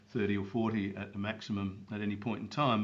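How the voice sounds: A man at a fairly low pitch and fairly quick pace, with audible room echo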